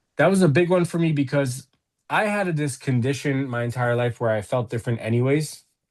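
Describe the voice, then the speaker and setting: A man talks at a fairly quick pace in a plain, everyday voice, medium-pitched with ordinary pitch variation. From United States, moved from England at seven. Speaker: guest in recovery from addiction. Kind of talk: interview.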